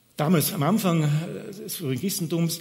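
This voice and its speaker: Room echo is audible around a man's somewhat breathy voice. He speaks at a fairly slow pace with ordinary pitch variation. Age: 60s. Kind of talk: sermon.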